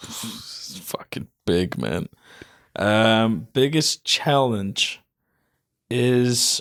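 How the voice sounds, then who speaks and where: A man with an Icelandic accent at a medium pitch, very slow and full of long, frequent pauses, with lively intonation and a dry, close sound with no echo. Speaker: fitness personality. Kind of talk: casual chat.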